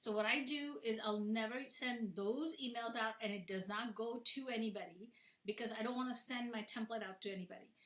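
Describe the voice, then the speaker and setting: Her pitch fairly high, a woman speaks at a fairly quick pace with ordinary pitch variation. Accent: non-native. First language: not English. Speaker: software founder and florist. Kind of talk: webinar presentation. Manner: casual, conversational with fillers.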